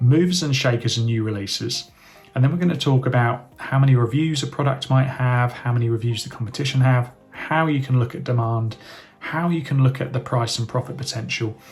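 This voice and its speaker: A man with a British accent, medium pitch, fairly even intonation and a fairly quick pace, over music in the background. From UK. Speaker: online business educator. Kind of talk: tutorial. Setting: screen-share recording.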